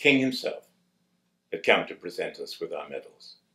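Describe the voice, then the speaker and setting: The speaker goes at a fairly slow pace in a British accent. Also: man. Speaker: war veteran. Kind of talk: testimony.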